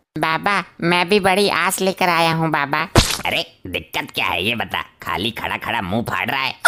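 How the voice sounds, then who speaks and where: A man puts on a character voice with a fairly high pitch. He moves at a moderate pace with lively intonation. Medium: comedy sketch. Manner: cheeky, brisk.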